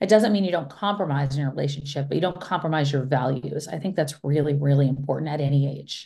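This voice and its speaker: A woman with an American accent talks at a very fast pace with hardly any pauses, in a very deep, low pitch and a dark, mellow, somewhat breathy tone with ordinary pitch variation. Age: middle-aged. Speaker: journalist and author. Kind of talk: interview.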